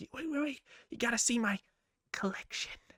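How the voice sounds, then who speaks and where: A female-sounding voice puts on a high-pitched character voice and talks at a fairly quick pace. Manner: creepy, eager.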